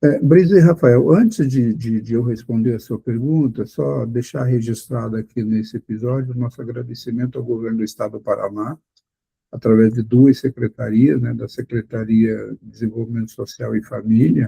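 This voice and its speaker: The voice has a dark, mellow tone, is somewhat breathy, and moves at a moderate pace with ordinary pitch variation. Loudness swings widely, and the sound is dry and close with no echo. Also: man. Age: 60s. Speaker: blind accessibility advocate. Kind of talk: podcast interview.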